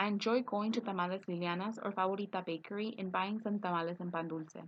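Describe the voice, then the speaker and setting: A woman speaks at a very fast clip with a Spanish accent. Her pitch sits in the middle, and her intonation stays fairly even. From East Los Angeles, California. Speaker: student. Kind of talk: reading aloud. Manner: scripted, read-aloud delivery.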